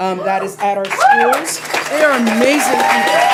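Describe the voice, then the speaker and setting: Medium pitch from a woman at a moderate pace, with noticeable background noise. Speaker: parent speaking at public comment. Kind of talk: public comment speech. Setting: school board meeting. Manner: emotional.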